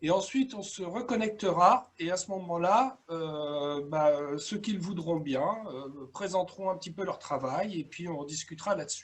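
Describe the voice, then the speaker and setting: Amid noticeable background noise, a man with a high voice speaks at a fairly slow pace with hardly any pauses and big swings in loudness. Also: ordinary pitch variation. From France, Dordogne. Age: 60s. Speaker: coach and workshop trainer. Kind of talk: webinar presentation. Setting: video call. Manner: hesitant, many filler sounds.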